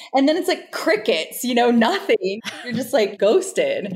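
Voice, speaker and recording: Delivery moves at a moderate speed. Its intonation is lively. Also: woman. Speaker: American expat living in Brazil. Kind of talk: casual chat. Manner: animated.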